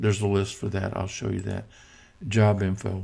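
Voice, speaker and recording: A man speaks in a fairly low, somewhat breathy voice with a dark, mellow tone and fairly even intonation. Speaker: software tutorial instructor. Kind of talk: tutorial. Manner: casual, with fillers.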